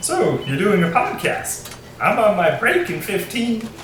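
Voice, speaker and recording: Someone puts on a character voice at a fairly high pitch and a fairly slow pace, with a slight echo and clear background noise. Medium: audio drama. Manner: flat, earnest, oblivious.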